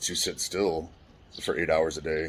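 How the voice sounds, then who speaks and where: In an American accent, a man with a very deep, low pitch speaks at a moderate pace in a monotone, flat way. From California. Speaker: trauma survivor telling life story. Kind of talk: personal testimony monologue. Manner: loud, poorly modulated volume; halting, many restarts.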